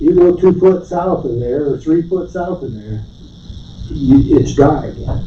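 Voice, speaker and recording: A man speaks. His pace is moderate, with noticeable noise in the background. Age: 70s. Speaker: landowner addressing county board. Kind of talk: public meeting comment. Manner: halting, repeats words.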